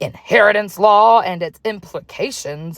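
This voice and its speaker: A croaky, put-on character voice from a woman, with ordinary pitch variation. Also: medium pitch for a woman, moderate pace. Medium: read story. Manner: menacing, bullying.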